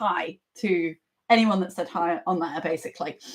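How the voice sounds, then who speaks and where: A woman is speaking. Her voice is loud. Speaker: maths teacher. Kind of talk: live online lesson. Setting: live stream at computer. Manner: animated.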